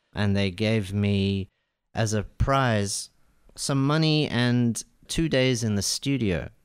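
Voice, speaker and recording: A man with an Australian accent at a very slow pace, his loudness very even, in a very clean recording with a silent background. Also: medium pitch for a man, ordinary pitch variation. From Iran, raised in Melbourne. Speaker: jazz saxophonist and composer. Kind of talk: radio interview, casual chat. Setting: radio studio. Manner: warm, polite, thoughtful.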